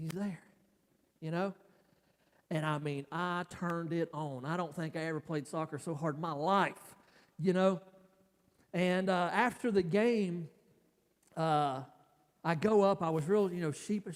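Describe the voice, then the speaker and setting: A high-pitched man with long, frequent pauses, big swings in loudness and ordinary pitch variation. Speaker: pastor. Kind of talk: sermon. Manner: halting, many fillers.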